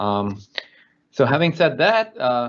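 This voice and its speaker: A man's medium-pitched, plain, everyday voice at a fairly slow pace. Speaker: auditor and trainer. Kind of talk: webinar presentation. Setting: online webinar.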